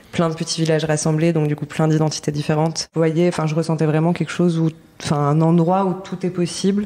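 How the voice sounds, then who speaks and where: At a very deep, low pitch, a woman with a dark, mellow tone speaks in a monotone, flat intonation at a fairly quick pace. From Paris, France. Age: 30s. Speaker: artist, set designer and bookbinder. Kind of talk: podcast interview. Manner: hesitant, many fillers.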